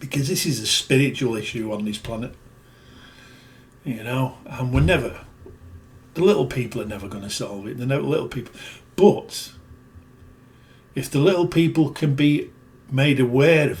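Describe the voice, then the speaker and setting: With a British accent, the speaker talks at a moderate pace in a somewhat breathy voice, using lively intonation, big swings in loudness and long, frequent pauses. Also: man, medium pitch for a man. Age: 60s. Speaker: video blogger. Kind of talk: casual monologue. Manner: emphatic.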